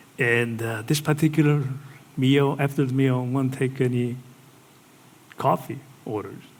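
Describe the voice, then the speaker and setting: Long, frequent pauses break up a man's fairly slow speech, with audible room echo around it. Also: medium pitch for a man, fairly even intonation. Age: 60s. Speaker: pastor. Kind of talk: sermon.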